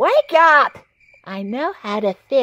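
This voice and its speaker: The voice sounds female and is a put-on character voice. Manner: wisecracking, sarcastic, snappy.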